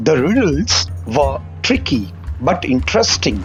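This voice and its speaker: With an Indian accent, a man speaks at a very slow pace. His pitch swings very widely over music in the background. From Gujarat, India. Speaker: student reader. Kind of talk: children's story reading.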